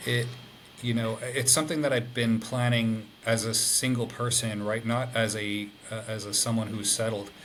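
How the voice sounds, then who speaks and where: Over noticeable background noise, a man speaks at medium pitch and a moderate pace in a monotone, flat intonation. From Ireland (Dublin). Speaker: interview guest. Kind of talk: casual interview. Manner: halting, many fillers.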